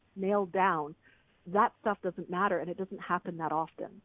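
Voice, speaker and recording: A woman speaks at a moderate pace in an unremarkable speaking voice. Her pitch is fairly low and her intonation fairly even. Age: 40s. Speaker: artist and author. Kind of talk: casual chat; guided meditation.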